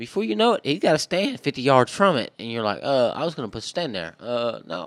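In a very clean recording with a silent background, a man with a Southern Louisiana accent talks at a fairly quick pace with hardly any pauses, his medium pitch swinging very widely and touched by vocal fry. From southwest Louisiana. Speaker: hunter and fisherman. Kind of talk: casual chat.

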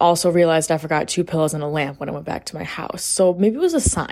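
It's a woman in an unremarkable speaking voice with an American accent. She talks fairly quickly at a fairly low pitch. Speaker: podcast host, college student. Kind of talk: casual solo chat. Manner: chatty, filler-heavy.

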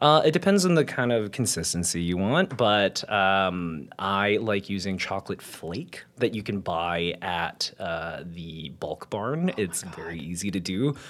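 In a normal speaking voice, a man with fairly low pitch and lively intonation speaks at a fairly slow pace with hardly any pauses. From Winnipeg, Canada. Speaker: amateur baker, baking show contestant. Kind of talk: casual interview chat.

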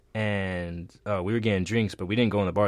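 Here is a man with an ordinary speaking voice, pitched fairly low. He talks at a fairly quick pace with fairly even intonation. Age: 20s. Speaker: college student, fashion major. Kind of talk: casual chat.

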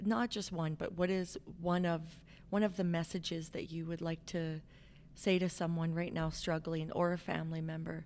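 In a Canadian accent, a woman with a normal speaking voice talks at a moderate pace and a fairly low pitch. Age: 40s. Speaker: podcast host. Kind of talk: interview, casual chat. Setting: studio.

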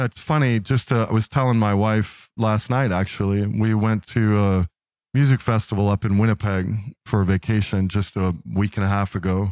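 At a moderate pace, a man talks in a normal speaking voice with very even loudness and fairly even intonation, the sound dry and close with no echo. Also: fairly low pitch for a man, very clean recording, silent background. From US East Coast, Philadelphia. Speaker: nonprofit executive director and caregiver. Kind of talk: casual interview.

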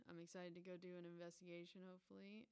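A woman is speaking. Her pace is very fast. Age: 20s. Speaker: podcast host and comedian. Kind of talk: casual solo chat.

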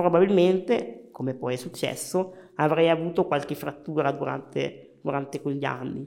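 Vocal fry runs through this voice. It moves at a moderate pace with ordinary pitch variation. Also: man. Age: 30s. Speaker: wheelchair hockey champion and lawyer. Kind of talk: interview.

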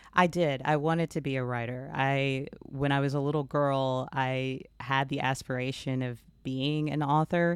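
At a moderate pace, a voice with an American accent speaks in a monotone, flat intonation on a very clean recording with a silent background. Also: woman, very deep, low pitch for a woman. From Texas. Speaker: memoirist and former sportscaster. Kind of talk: interview conversation.

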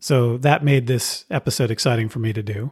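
A somewhat breathy man's voice with an American accent, medium in pitch with ordinary variation, at a fairly quick pace on a very clean recording with a silent background. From California. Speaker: podcast host. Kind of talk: scripted narration.

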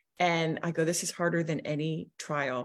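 A woman's voice sits at a very deep, low pitch. The recording is very clean, with a silent background. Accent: American. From US small town. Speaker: business coach. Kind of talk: interview.

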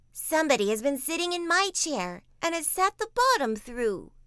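Doing a put-on character voice, a woman pushes to an extremely high pitch with very wide pitch swings at a moderate pace.

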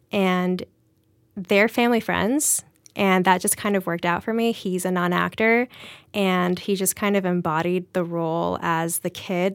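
This woman talks at a moderate pace and medium pitch in an American accent, with ordinary pitch variation. The recording is very clean with a silent background. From South Carolina, US. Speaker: film writer-director. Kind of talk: casual interview chat. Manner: casual, hesitant with fillers.

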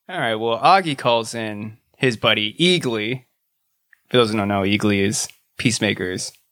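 A man at a moderate pace with ordinary pitch variation and a bright, sharp tone, in a very clean recording over a silent background. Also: medium pitch for a man. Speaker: podcast co-host. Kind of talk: casual chat.

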